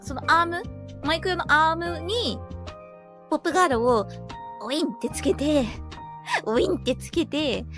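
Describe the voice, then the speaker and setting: A woman speaks at a moderate pace with long, frequent pauses. Music runs in the background. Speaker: virtual YouTuber. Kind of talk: casual talk to camera.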